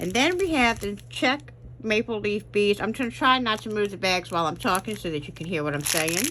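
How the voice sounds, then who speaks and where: The voice is loud, bright and sharp in tone, with vocal fry and a fairly quick pace. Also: woman. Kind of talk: unboxing tutorial. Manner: casual, with frequent fillers.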